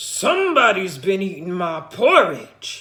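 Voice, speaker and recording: Growling, put-on character voice from a woman, medium in pitch, at a fairly slow pace. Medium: read story.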